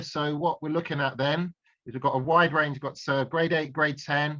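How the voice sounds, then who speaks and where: Fairly quick and fairly high-pitched, this man's voice has a bright, sharp tone and fairly even intonation. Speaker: science tutor. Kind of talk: online lesson. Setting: video call. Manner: fast; halting, many fillers and repetitions.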